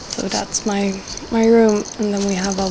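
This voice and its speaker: Her voice is medium-pitched and flat, with monotone intonation at a fairly slow pace. The woman's speech carries audible room echo and noticeable background noise. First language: Swedish. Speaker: video blogger. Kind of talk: casual vlog monologue. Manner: halting.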